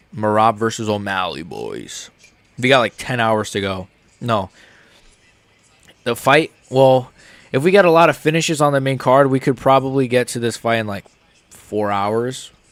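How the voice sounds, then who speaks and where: With an American accent, the speaker keeps a moderate pace and ordinary pitch variation. Long pauses come often. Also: man, medium pitch for a man. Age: 30s. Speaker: MMA streamer. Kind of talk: live stream reaction commentary. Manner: casual, rambling with fillers.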